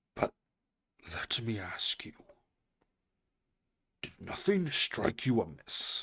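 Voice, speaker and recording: Putting on a raspy character voice at a medium pitch, a man speaks at a very slow pace with long, frequent pauses. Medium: read story. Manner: slow and careful.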